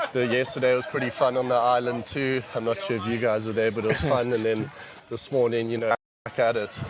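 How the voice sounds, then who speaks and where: A man with a South African accent speaks at a fairly quick pace. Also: medium pitch for a man, fairly even intonation. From South Africa, Cape Town. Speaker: paddleboard race team member. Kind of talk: post-race interview.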